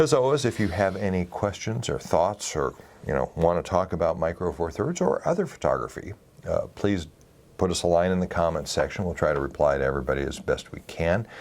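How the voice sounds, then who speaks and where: A soft-spoken man talks at a fairly quick pace in a very deep, low voice with vocal fry and lively intonation. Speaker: photography video host. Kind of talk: casual chat. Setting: studio.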